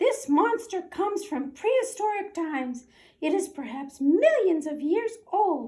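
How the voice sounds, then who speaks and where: A woman performs a put-on character voice at an extremely high pitch, keeping a moderate pace. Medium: read story. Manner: lecturing, serious.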